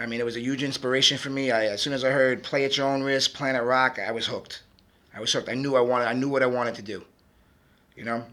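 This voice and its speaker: A man with a Brooklyn accent talks at a very fast pace in a bright, sharp tone. His medium-pitched voice stays monotone and flat. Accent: Brooklyn New York. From Brooklyn, New York. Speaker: music producer and DJ. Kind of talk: interview. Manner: halting, many fillers.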